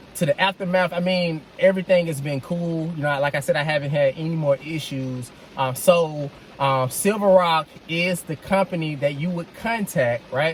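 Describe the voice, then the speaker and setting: Noticeable background noise sits under this recording. A man with a fairly high pitch speaks at a moderate pace with ordinary pitch variation. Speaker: vlogger, dad reviewing his car purchase. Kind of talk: casual vlog review. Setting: in a car. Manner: loud; projecting voice loudly.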